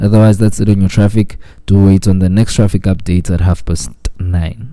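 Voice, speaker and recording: A man speaks with a dark, mellow tone at a fairly low pitch. His loudness stays very even and his intonation fairly even. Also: moderate pace. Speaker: radio host. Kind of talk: traffic report.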